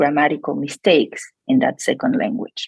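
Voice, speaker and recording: A woman with a Spanish accent talks in very wide pitch swings, recorded with a dry, close sound with no echo. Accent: non-native English accent, Spanish. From Argentina. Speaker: psychology researcher. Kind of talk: podcast interview. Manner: hesitant, many fillers.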